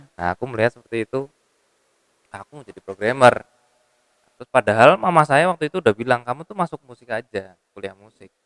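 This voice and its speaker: Talking at a very fast pace, a man with a medium pitch uses lively intonation and big swings in loudness, the sound dry and close with no echo. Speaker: musician. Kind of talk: casual interview.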